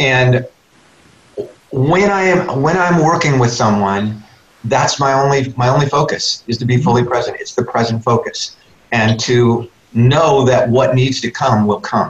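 The speech moves at a fairly slow pace with ordinary pitch variation, and noticeable background noise runs underneath. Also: man, medium pitch for a man. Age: 60s. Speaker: leadership speaker and coach. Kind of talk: radio interview. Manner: animated.

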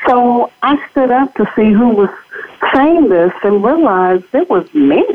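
A woman's high-pitched voice with an American accent, very wide pitch swings, very even loudness and a fairly slow pace, over noticeable background noise. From Los Angeles, US. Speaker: educator and nonprofit CEO. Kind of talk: interview testimony. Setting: studio.

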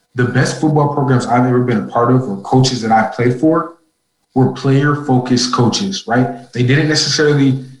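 An American accent marks this man's medium-pitched, somewhat breathy voice. He keeps a moderate pace and fairly even intonation. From Minnesota. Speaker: university student and athlete. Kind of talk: interview.

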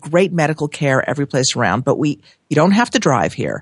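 A woman with an American accent, in a dry, close sound with no echo. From Los Angeles. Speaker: real estate broker. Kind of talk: casual chat.

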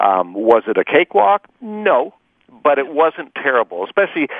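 This man's intonation is lively. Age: 60s. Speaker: cancer survivor. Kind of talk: interview. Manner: halting.

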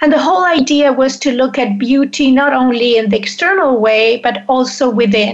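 A woman's high voice at a moderate pace, with ordinary pitch variation, very even loudness, hardly any pauses and noticeable background noise. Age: 60s. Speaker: menopause coach and author. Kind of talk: casual interview.

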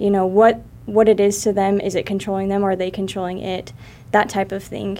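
Talking at a fairly quick pace, a woman has a normal speaking voice, a medium pitch and fairly even intonation. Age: 20s. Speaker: financial educator. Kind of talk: interview. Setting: studio.

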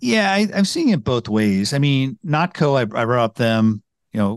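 A man speaks at a moderate pace in a plain, everyday voice of medium pitch, the sound dry and close with no echo over a quiet background. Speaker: food tech publisher. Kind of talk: interview. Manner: fluent, conversational.

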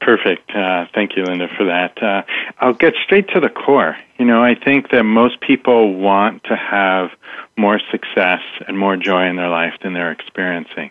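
A man talks at a fairly low pitch and a moderate pace. It's a normal speaking voice with ordinary pitch variation. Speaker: mindset coach. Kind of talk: radio interview.

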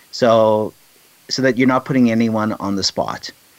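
A man has an unremarkable speaking voice at a medium pitch. He speaks at a moderate pace. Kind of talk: casual interview chat.

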